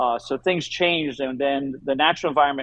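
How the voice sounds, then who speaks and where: Using a plain, everyday voice, a man with an American accent talks at a fairly quick pace, his fairly high pitch kept to fairly even intonation. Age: 60s. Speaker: aquarium company owner. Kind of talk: interview.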